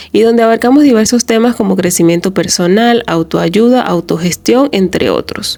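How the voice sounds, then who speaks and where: Lively intonation marks a woman's fairly high voice at a moderate pace. Noticeable background noise runs underneath. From Venezuela. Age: 30s. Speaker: self-help podcaster. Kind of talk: reflective monologue podcast.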